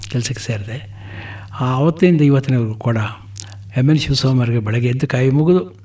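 This man's medium-pitched voice varies in pitch in an ordinary way, and noticeable noise can be heard behind it. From Karnataka, Gundlupet (Chamarajanagar). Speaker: retired banker and social worker. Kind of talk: radio interview.

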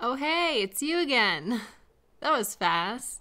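A woman puts on a character voice, fairly high-pitched with a bright, sharp tone. Her pitch swings widely as she speaks at a slow pace.

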